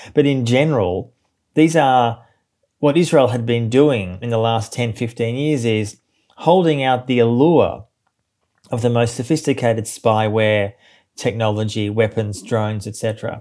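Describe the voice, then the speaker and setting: The voice has a dark, mellow tone and an Australian accent. It moves at a moderate pace with ordinary pitch variation. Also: man, medium pitch for a man. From Australia, Melbourne. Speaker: journalist and author. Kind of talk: interview.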